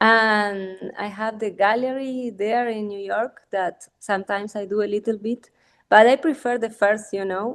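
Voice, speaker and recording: A woman speaks with a Spanish accent and fairly even intonation. The background is quiet. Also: fairly high pitch for a woman, moderate pace. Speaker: artist. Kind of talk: casual chat. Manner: halting.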